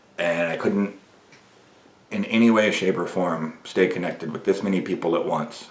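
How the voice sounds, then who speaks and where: At a moderate pace, a man speaks with audible room echo around him. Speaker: men's coach and video podcaster. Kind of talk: motivational monologue. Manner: gets louder and ranting when passionate.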